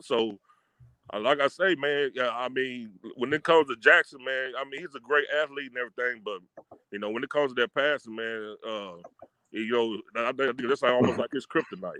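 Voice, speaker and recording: At a fairly quick pace, a man with a Texas accent speaks at a medium pitch. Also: ordinary pitch variation. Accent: Texas twang. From Texas, Fort Worth. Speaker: football podcast guest. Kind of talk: casual chat.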